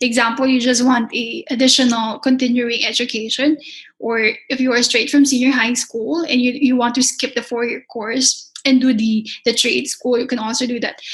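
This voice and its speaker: With a Filipino accent, a woman speaks in a high pitch at a moderate pace, with hardly any pauses and a monotone, flat intonation. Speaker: pastry chef and culinary instructor. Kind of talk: interview.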